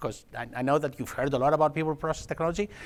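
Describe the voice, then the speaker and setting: A man talks with a Greek accent. His pace is very fast. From Greece, Athens. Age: 50s. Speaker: technology executive. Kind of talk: conference talk. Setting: stage with audience.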